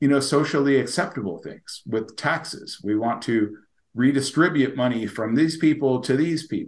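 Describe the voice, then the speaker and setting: Speaking at a moderate pace, a man has a fairly high pitch. It is an unremarkable speaking voice. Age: 60s. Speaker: crypto company executive. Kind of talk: interview.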